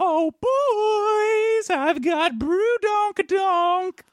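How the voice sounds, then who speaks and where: An extremely high, very slow put-on character voice. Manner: cartoony, silly.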